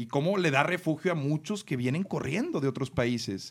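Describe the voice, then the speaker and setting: The recording is very clean, with a silent background. It carries a normal speaking voice at a moderate pace with ordinary pitch variation. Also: man. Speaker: podcast host. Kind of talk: casual chat.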